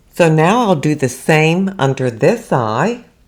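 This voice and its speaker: A woman's voice with very wide pitch swings. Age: 70s. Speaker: beauty vlogger. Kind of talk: makeup tutorial talk to camera.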